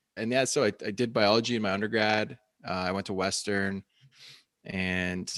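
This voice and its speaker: A man with an unremarkable speaking voice talks at a fairly low pitch and a moderate pace, with fairly even intonation. The recording is very clean, with a silent background. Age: 30s. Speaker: bone broth company founder. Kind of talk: interview. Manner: casual, filler-heavy.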